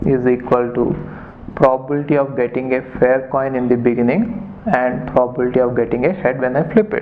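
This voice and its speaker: With audible room echo and noticeable background noise, a man speaks at a fairly quick pace and a medium pitch. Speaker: maths teacher. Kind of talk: lecture.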